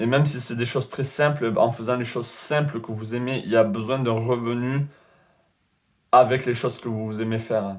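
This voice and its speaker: A man talks at a moderate rate, his medium-pitched voice held to a flat monotone. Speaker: tarot reader. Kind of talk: tarot reading video.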